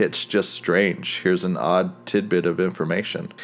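A man with an American accent speaks in a very deep, low pitch. His pace is moderate and his intonation monotone and flat. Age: 40s. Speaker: podcast host. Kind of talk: monologue commentary.

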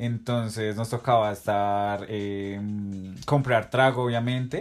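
Over music in the background, a man talks at medium pitch with fairly even intonation. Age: 20s. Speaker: best friend of host. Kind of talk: casual chat.

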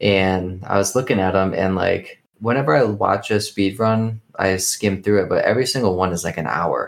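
Here a man uses an ordinary speaking voice, fairly low in pitch with ordinary pitch variation, moving at a moderate pace with hardly any pauses. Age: 30s. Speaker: podcast co-host. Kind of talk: casual chat.

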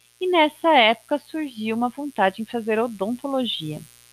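A woman with a fairly high pitch talks at a moderate pace, her pitch swinging very widely, in a dry, close sound with no echo. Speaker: podcaster. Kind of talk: personal monologue.

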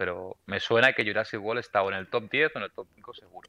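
In an ordinary speaking voice, a man talks fairly quickly at a medium pitch with fairly even intonation. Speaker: podcast co-host. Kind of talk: casual chat, film trivia quiz.

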